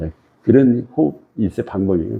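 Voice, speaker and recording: A man speaks with a very deep, low voice. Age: 80s+. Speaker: meditation teacher. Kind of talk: lecture. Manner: conversational, repetitive.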